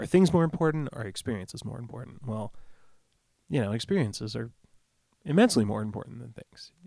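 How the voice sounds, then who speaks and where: A man with an American accent, a medium pitch and a dark, mellow tone, at a very fast pace with lively intonation, big swings in loudness and long, frequent pauses. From US Midwest, Rockford, Illinois. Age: 30s. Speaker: singer-songwriter. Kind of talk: casual chat.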